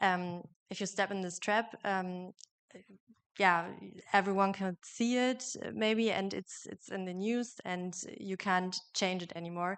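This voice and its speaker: A woman at a fairly slow pace, medium in pitch, with fairly even intonation. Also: quiet background. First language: German. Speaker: journalism student. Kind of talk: panel discussion.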